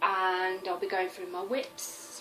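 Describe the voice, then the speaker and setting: A woman speaks in a Birmingham accent. Music plays in the background, and room echo is audible. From West Midlands, Birmingham area. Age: 30s. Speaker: cross-stitch vlogger. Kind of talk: casual vlog talk.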